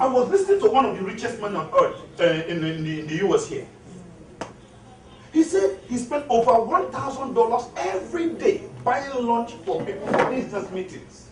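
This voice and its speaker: An animated voice with a Nigerian accent at a moderate pace, over noticeable background noise. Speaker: motivational speaker and author. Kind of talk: motivational speech.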